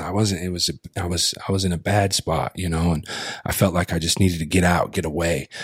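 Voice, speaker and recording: In a dry, close recording with no echo, a man with a very deep, low pitch speaks at a fairly quick pace. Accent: American. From Colville reservation, eastern Washington, US. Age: 30s. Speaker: storyteller and hip hop artist. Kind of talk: casual interview chat. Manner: animated, repetitive restarts.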